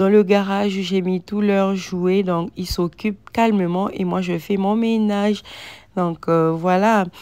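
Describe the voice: The voice has a clear, smooth, slightly mellow tone. It moves at a fairly slow pace with fairly even intonation. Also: woman.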